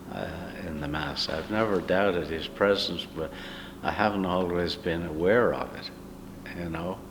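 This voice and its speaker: A man's very deep, low voice with an American accent, at a moderate pace with fairly even intonation and long, frequent pauses, in a room with audible echo. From Ireland, County Wicklow. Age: 80s+. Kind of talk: interview. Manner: hesitant, many fillers.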